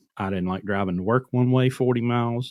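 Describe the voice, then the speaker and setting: This man has an ordinary speaking voice, delivered at a moderate pace with fairly even intonation. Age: 40s. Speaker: truck owner-operator. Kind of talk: casual chat. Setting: podcast interview.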